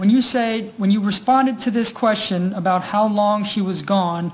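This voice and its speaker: A woman with a normal speaking voice talks at a medium pitch and fairly slow pace, her intonation fairly even. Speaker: prosecutor. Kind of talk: courtroom direct examination and argument. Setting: courtroom.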